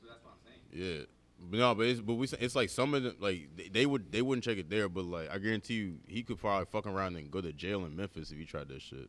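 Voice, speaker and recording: Talking very fast, a man with a fairly low pitch uses lively intonation and big swings in loudness. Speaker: podcast co-host. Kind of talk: casual chat. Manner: animated.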